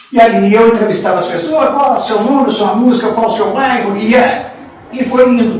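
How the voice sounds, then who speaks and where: This man's pitch is extremely high, with ordinary variation. He talks at a moderate pace amid audible room echo. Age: 60s. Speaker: sports radio broadcaster. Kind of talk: interview storytelling.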